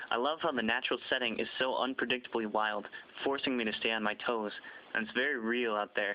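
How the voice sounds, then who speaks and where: Here is a man with an ordinary speaking voice at medium pitch. He talks at a fairly quick pace with fairly even intonation. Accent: American. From US Midwest (Zumbrota, Minnesota). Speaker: athlete applicant. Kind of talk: scripted narration.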